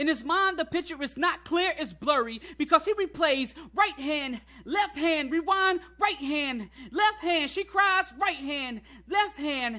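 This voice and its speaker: A man projects in a raised voice with an extremely high pitch and a bright, sharp tone. His pace is fairly slow. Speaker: spoken word poet. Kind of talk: spoken word poetry performance.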